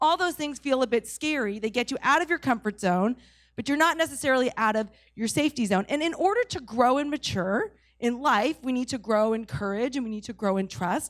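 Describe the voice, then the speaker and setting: Fairly quick and with lively intonation, a woman speaks at a high pitch in a New England accent. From New England, New Hampshire. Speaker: pastor. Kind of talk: sermon. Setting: church service, in person and online.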